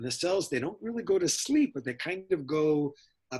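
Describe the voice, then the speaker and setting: A man talks with very wide pitch swings and a somewhat breathy sound. The background is quiet. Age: 60s. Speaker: scientist guest. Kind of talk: interview.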